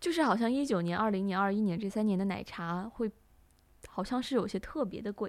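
With an unremarkable speaking voice, a woman talks at a fairly quick pace at a medium pitch with ordinary pitch variation. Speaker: student podcast co-host. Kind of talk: casual chat.

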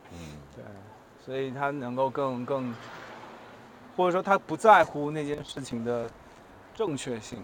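Using lively intonation and big swings in loudness, a man talks at a fairly slow pace and medium pitch, with long, frequent pauses. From Taiwan. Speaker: advertising creative. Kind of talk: casual chat. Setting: outdoors, walking through the city. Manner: gentle, soft-spoken.

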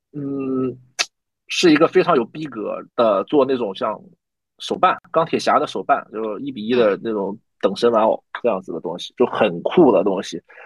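A man has a normal speaking voice with medium pitch and lively intonation, at a moderate pace. His loudness swings widely, and the sound is dry and close with no echo. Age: 30s. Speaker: new media manager. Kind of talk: interview.

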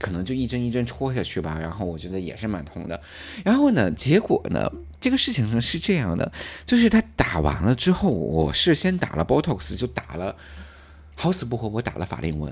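Pitched fairly low, a man speaks at a moderate pace with very wide pitch swings. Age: 40s. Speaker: podcast co-host. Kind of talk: casual chat.

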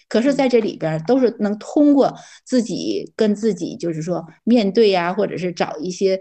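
Against a quiet background, a woman with a fairly high pitch and a dark, mellow tone speaks at a moderate pace with lively intonation. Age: 60s. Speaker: retiree. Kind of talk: casual chat. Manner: halting.

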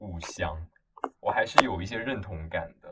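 A man talks with an unremarkable speaking voice. His fairly low pitch shows ordinary variation. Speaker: podcast co-host, university student. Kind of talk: casual chat.

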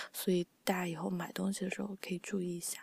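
A soft-spoken woman at a medium pitch and fairly quick pace, in a dry, close sound with no echo. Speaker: podcast host and editor. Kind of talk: casual chat. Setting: online call.

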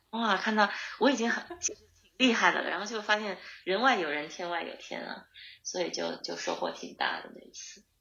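A woman's medium-pitched voice with vocal fry, ordinary pitch variation, big swings in loudness and a moderate pace broken by long, frequent pauses. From northeast China, Harbin. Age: 30s. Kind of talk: interview conversation. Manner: halting, many fillers and repetitions.

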